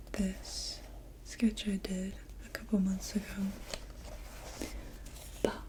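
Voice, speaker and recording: Soft-spoken and very slow, the speaker leaves long, frequent pauses over noticeable background noise. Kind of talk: ASMR painting ramble. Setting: home studio with microphone.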